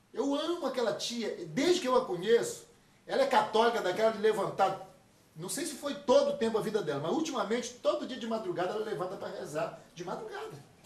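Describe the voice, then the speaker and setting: Amid audible room echo and noticeable background noise, a man talks at a fairly quick pace with very wide pitch swings. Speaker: pastor. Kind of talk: sermon. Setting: church retreat talk with audience. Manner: fast.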